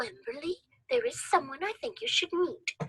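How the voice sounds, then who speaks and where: In a put-on character voice, a woman speaks at an extremely high pitch with very wide swings. Her tone is warm and her pace moderate. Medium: read story. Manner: warm, friendly.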